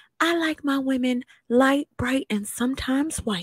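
In a put-on character voice, a soft-spoken, female-sounding speaker talks at a high pitch for a woman. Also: moderate pace. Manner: imitating a specific person.

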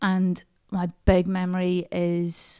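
This woman has a Northern Irish accent and a medium pitch with a dark, mellow tone. The recording is very clean, with a silent background. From Northern Ireland, small town near Banbridge. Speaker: stand-up comedian and comedy writer. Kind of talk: casual chat. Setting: in person at host's house.

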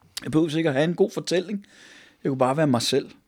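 This man's pitch varies in an ordinary way. Everything is captured on a very clean recording with a silent background. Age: 50s. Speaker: pastor. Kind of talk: personal testimony interview. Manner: halting, many fillers.

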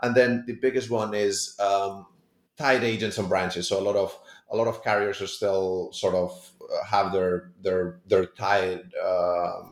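A man with a Spanish accent, fairly low pitch and moderate pace. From Spain. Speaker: tech startup founder. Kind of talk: interview.

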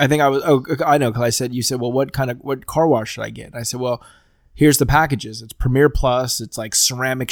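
A man with an ordinary speaking voice talks at a fairly quick pace at medium pitch. His intonation is fairly even, on a very clean recording with a silent background. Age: 30s. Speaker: podcast host. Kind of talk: casual chat.

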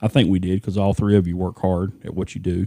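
A man with an East Texas accent, a very deep, low pitch and a dark, mellow tone, at a fairly quick pace with fairly even intonation, in a dry, close, very clean recording with a silent background and no echo. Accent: East Texas Southern US. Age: 50s. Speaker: podcast guest, host's father. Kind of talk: casual chat.

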